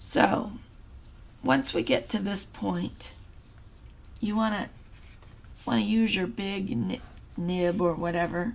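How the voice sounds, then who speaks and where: A woman at medium pitch with vocal fry, a very slow pace and long, frequent pauses. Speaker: crafts tutorial creator. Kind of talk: tutorial. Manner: casual, halting.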